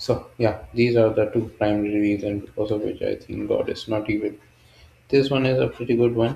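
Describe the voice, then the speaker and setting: At a moderate pace, a man with a fairly low pitch speaks in a somewhat breathy, monotone voice with flat intonation. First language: not English. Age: 20s. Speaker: solo video creator. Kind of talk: casual monologue. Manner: halting, unscripted.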